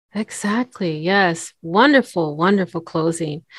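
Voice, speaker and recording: At a fairly slow pace, a woman speaks in a plain, everyday voice of medium pitch. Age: 40s. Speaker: podcast host and voiceover artist. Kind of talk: casual chat.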